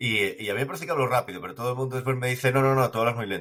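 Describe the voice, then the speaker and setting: A man speaks with a Galician accent. His tone is bright and sharp. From Galicia, Spain. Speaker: podcast host. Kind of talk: casual chat.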